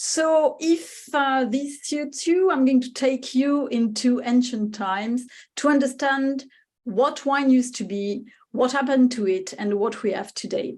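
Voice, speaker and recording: A woman's high voice with a French accent, ordinary pitch variation and a fairly slow pace. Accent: French accent, noticeable. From France, Spanish-speaking home. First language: Spanish. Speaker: wine writer and speaker. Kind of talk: lecture. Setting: webinar. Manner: hesitant, many fillers.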